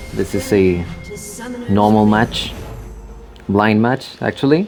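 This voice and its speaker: Music plays in the background as a man speaks at a very slow pace. He has a Spanish accent and a fairly low pitch. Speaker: gamer commentator. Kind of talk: gameplay commentary.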